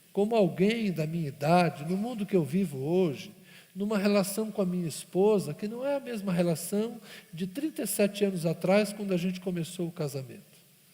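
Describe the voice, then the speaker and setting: A man speaks with a dark, mellow tone. His voice is pitched high. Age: 50s. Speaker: pastor. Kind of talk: sermon.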